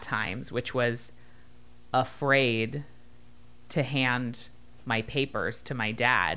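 A very slow woman's voice, very deep and low in pitch, bright and sharp in tone, with fairly even intonation. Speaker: podcast host, author. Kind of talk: casual chat; promotional outro. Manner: clear, articulate.

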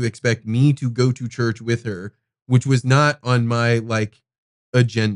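A man speaks in a normal speaking voice at a medium pitch and a moderate pace. The sound is dry and close, with no echo. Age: 40s. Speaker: podcast host. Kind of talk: casual chat. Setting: studio.

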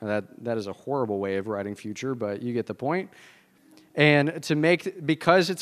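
A man with a Southern US accent at a fairly quick pace, on a very clean recording with a silent background. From US South. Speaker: pastor. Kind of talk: sermon.

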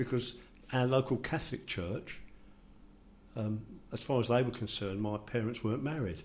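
The man's voice is somewhat breathy, at a medium pitch. His pitch variation is ordinary. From London.

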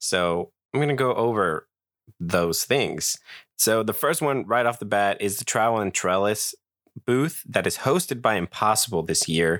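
A normal speaking voice comes through at a fairly slow pace with ordinary pitch variation on a very clean recording with a silent background. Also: man. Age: 20s. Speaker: podcast host. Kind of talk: casual solo podcast talk. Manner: conversational with filler words.

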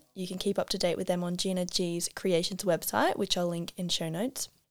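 A woman with an Australian accent talks at a fairly quick pace and medium pitch, her voice dry and close with no echo on a very clean recording over a silent background. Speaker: podcast host. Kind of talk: scripted intro narration. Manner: fast-talking; enthusiastic, bubbly.

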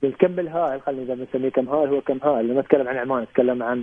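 A man at a medium pitch talks very fast with fairly even intonation. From Oman. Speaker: poet and engineer. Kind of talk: radio interview.

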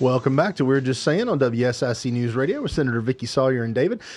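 Against a quiet background, a man speaks in a plain, everyday voice at medium pitch with ordinary pitch variation. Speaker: radio host. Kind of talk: casual radio talk show chat. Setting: radio studio.

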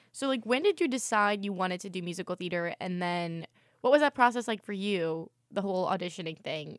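An ordinary speaking voice from a woman, fairly quick with ordinary pitch variation, dry and close with no echo on a very clean recording with a silent background. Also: medium pitch for a woman. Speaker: student podcast host. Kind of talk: casual chat.

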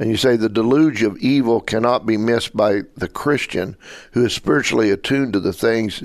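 At a fairly quick pace, a man with a normal speaking voice and medium pitch talks with fairly even intonation over a quiet background. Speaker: radio interviewer host. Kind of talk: radio interview.

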